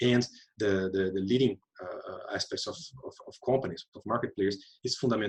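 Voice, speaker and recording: In a Portuguese accent, a man talks at a very fast pace in a somewhat breathy voice. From Brazil. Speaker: UN economist on circular economy. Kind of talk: webinar panel discussion. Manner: halting, many fillers and repetitions.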